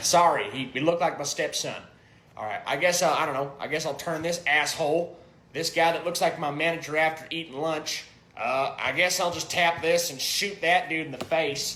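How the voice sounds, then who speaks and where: Using a put-on character voice, a man talks gruffly at a moderate pace with a high pitch and fairly even intonation. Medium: comedy sketch. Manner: gruff, crude, profane.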